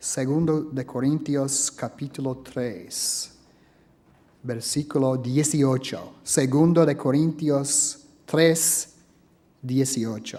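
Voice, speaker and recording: In a non-native accent, a man speaks at a very slow pace with a fairly high pitch, a dark, mellow tone and ordinary pitch variation. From US South, Alabama. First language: English (speaking Spanish). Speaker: preacher and history professor. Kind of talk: sermon.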